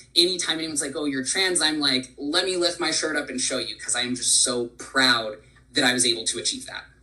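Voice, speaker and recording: There is noticeable background noise as a man talks at a fairly quick pace, his fairly high pitch showing ordinary variation. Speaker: employee speaker sharing personal story. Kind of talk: presentation.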